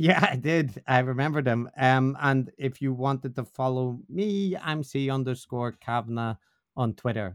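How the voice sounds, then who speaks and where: A man with a Northern Irish accent, medium in pitch, with ordinary pitch variation at a fairly slow pace. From Northern Ireland. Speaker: podcast co-host, academic on religion. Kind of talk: casual interview discussion.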